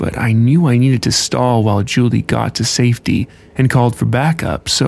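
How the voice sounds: Fairly even intonation over a natural-sounding read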